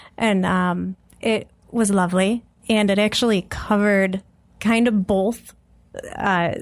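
A woman with a medium-pitched voice speaks at a very slow pace on a very clean recording with a silent background. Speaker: guest with theater degree, ops analyst. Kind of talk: casual chat. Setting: studio.

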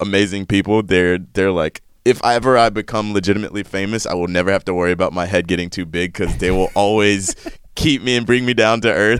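A man with an American accent and a fairly low pitch talks at a fairly quick pace in a plain, everyday voice, on a very clean recording with a silent background. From US South, North Carolina. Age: 30s. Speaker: soccer presenter. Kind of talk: interview. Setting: studio.

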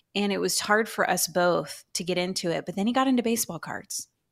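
A woman's unremarkable speaking voice, with ordinary pitch variation, at a moderate pace. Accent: American. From Texas, Houston. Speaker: Bible teacher and author. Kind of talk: radio interview.

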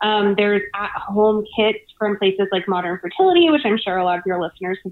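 This is a plain, everyday voice with fairly even intonation. It comes with an American accent. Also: woman. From US South (Savannah, Georgia). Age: 20s. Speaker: financial journalist. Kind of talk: casual interview.

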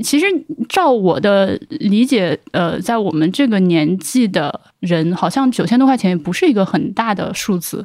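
At a fairly slow pace, a woman speaks in a plain, everyday voice. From Hubei, China. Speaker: podcast host. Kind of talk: casual chat.

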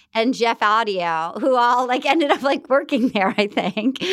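A woman speaks at a fairly slow pace with a fairly high pitch. Her tone is animated, with ordinary pitch variation. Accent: American. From US Northeast, Rhode Island. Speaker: actress and comedian. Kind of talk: casual chat.

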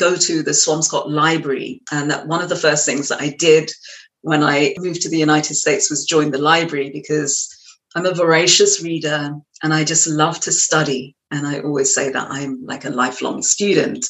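A woman speaks at a moderate pace with an English accent. Her pitch is very deep and low, with ordinary variation. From West London, England. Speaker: trance medium and yoga teacher. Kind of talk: interview conversation. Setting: studio.

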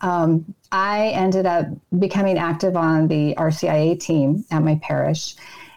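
Her fairly low voice is an ordinary speaking voice, with fairly even intonation, very even loudness, and a fairly slow pace. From US, military family that moved often. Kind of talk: interview, personal testimony.

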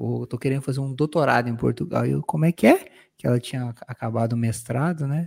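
On a very clean recording with a silent background, a man speaks at a medium pitch with a dark, mellow tone and ordinary pitch variation. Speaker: podcast co-host, lawyer. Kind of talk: casual chat.

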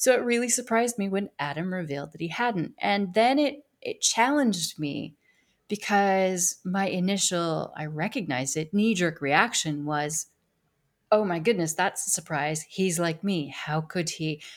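With lively intonation, a woman talks at a medium pitch. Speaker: podcast host. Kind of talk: podcast interview, nurturing conversation. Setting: remote video call. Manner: calm, slow-paced.

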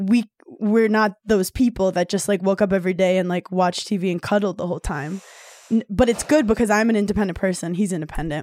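A plain, everyday voice: a woman with an American accent, medium pitch, ordinary pitch variation and a fairly quick pace. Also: dry, close sound with no echo. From New York, Brooklyn. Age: 30s. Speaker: comedian. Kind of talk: casual chat.

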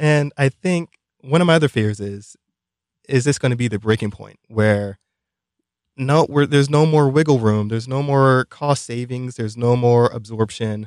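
With an ordinary speaking voice, a man talks at a moderate pace and with ordinary pitch variation in a dry, close sound with no echo. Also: medium pitch for a man. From Brooklyn, New York. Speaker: economist and podcast co-host. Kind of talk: casual chat.

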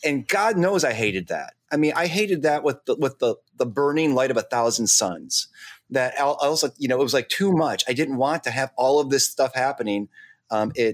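With a normal speaking voice at medium pitch, the man talks at a moderate pace with lively intonation and very even loudness, the recording very clean with a silent background and a dry, close sound with no echo. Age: 50s. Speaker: podcast co-host. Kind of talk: casual chat.

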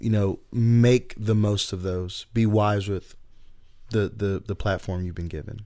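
Very cleanly recorded against a silent background, the speaker talks at a fairly slow pace in a Southern US accent with ordinary pitch variation. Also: man. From US South, Chattanooga, Tennessee. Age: 30s. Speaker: youth and college pastor. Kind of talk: casual interview.

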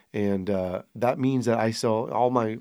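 An unremarkable speaking voice from a man with an American accent, fairly low pitch and ordinary pitch variation, on a very clean recording with a silent background. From Sonoma County, California. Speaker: winery owner and winemaker. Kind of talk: casual chat.

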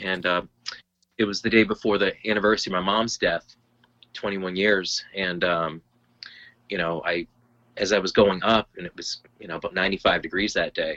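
Speaking with an American accent, a man with a fairly low pitch talks at a moderate pace in a monotone, flat intonation, taking long, frequent pauses. His loudness swings widely, and the sound is dry and close with no echo. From Lowell, Massachusetts. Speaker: healthcare enrollment administrator and hiker. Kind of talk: casual chat.

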